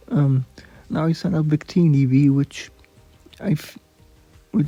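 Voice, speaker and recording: With music playing in the background, a man talks at a moderate pace with ordinary pitch variation and a fairly high pitch. The sound is dry and close, without echo. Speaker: gaming YouTuber. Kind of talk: gameplay commentary. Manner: halting.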